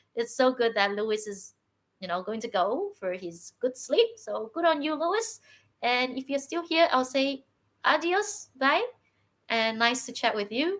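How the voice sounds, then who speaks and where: With very wide pitch swings, a woman speaks at a fairly slow pace in a high voice. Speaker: podcast host. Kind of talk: live-stream chat. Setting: live stream.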